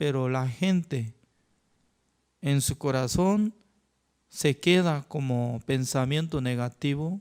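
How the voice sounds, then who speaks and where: A man with a Korean accent at a very slow pace, ordinary pitch variation, in a very clean recording with a silent background. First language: Korean (speaking Spanish). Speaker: pastor. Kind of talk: sermon.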